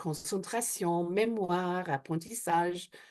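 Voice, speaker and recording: With an Australian accent, a woman speaks at a very slow pace. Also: quiet background. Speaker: hypnotherapist and trainer. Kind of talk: interview. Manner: hesitant, many fillers.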